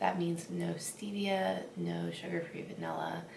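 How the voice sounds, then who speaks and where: A woman's fairly slow speech comes with audible room echo and noticeable background noise. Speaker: fitness vlogger, bikini competitor. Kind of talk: casual vlog.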